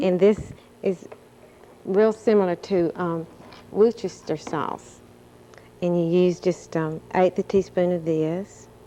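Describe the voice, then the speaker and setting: Speaking at a very slow pace with long, frequent pauses, a woman uses a fairly low pitch and a Southern US accent. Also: fairly even intonation. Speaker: recipe contest judge, gas company representative. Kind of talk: cooking demonstration on TV.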